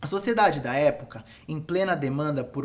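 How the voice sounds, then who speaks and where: A man's voice in a room with audible echo, at a fairly slow pace with ordinary pitch variation. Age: 20s. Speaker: photographer and educator. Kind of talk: lecture. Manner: formal.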